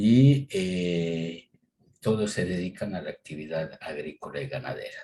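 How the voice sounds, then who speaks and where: This man's very deep, low voice has a dark, mellow tone, ordinary pitch variation and a fairly slow pace. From Ecuador, Tulcán (northern highlands, Colombian border). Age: 60s. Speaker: agricultural business owner. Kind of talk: interview. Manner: hesitant, many fillers.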